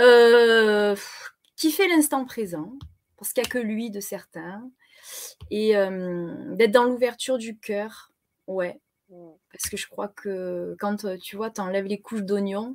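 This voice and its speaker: In a Marseille accent, the speech goes at a very slow pace with long, frequent pauses. Loudness swings widely while pitch varies in an ordinary way. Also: woman, fairly high pitch for a woman. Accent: Marseille accent, southern. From southern France, Marseille. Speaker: web TV co-host. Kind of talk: casual chat. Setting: live stream.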